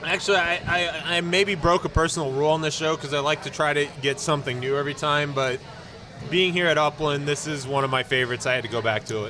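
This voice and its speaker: A man at a fairly high pitch and a very fast pace over noticeable background noise. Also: ordinary pitch variation. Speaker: podcast host. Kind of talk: casual chat. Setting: brewery tap room. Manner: loud.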